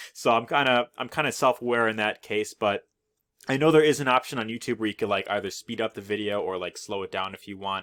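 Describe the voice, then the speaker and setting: A man's medium-pitched voice at a very fast pace. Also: ordinary pitch variation. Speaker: affiliate marketing YouTuber. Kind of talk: tutorial. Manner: casual with many fillers.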